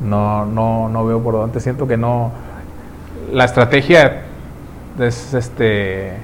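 Audible room echo surrounds this man's voice. He speaks at medium pitch with a Mexican accent. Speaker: podcast host. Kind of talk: casual chat.

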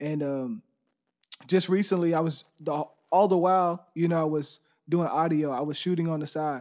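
Speaking with an American accent, a man has a plain, everyday voice with a fairly high pitch, a moderate pace, and fairly even intonation. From Texas, near Houston. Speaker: photographer and videographer. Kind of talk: casual interview chat.

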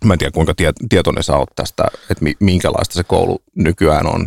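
A man with a very deep, low voice speaks at a moderate pace with fairly even intonation, the sound dry and close with no echo. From Finland, Helsinki (Herttoniemi). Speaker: podcast host. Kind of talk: casual chat.

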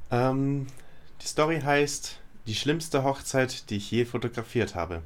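A man with a medium pitch speaks very slowly. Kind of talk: casual chat reacting to the story. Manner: relaxed, conversational.

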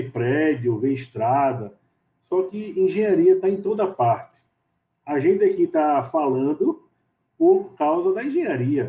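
A man talks fairly slowly. His voice sits high in pitch. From Recife, Pernambuco, Brazil. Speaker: civil engineer. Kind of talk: interview. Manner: halting.

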